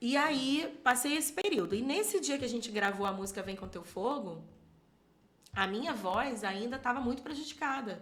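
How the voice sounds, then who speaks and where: A high-pitched woman's voice with very wide pitch swings and audible room echo. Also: moderate pace. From Rio de Janeiro state, São Gonçalo. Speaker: church minister and singer. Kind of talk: podcast interview.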